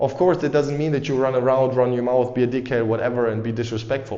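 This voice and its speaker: Energetic in tone, a man with a non-native accent speaks at a medium pitch with ordinary pitch variation. Audible room echo can be heard. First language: not English. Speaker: dating and confidence coach, YouTuber. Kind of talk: motivational talk to camera. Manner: casual, energetic.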